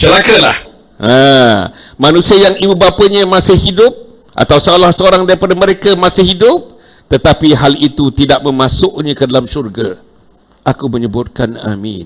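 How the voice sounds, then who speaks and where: A man's fairly high-pitched voice with vocal fry, very wide pitch swings and a moderate pace. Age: 70s. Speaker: religious preacher. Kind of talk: sermon. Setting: mosque.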